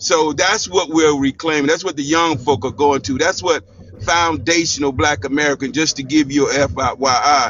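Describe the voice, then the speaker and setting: Ordinary pitch variation and a moderate pace from a man with a fairly high pitch. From United States. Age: 60s. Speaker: panel debate guest. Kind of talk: heated debate.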